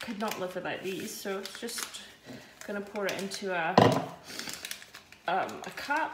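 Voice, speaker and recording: A woman speaks at a moderate pace with ordinary pitch variation against loud background noise. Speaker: runner vlogger. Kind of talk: casual vlog chat. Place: kitchen. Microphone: phone near.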